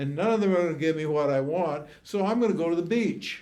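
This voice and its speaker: A man's high-pitched voice with a dark, mellow tone and ordinary pitch variation sounds out with audible room echo. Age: 80s+. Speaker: spiritual teacher. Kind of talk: teaching Q&A with students. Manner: animated.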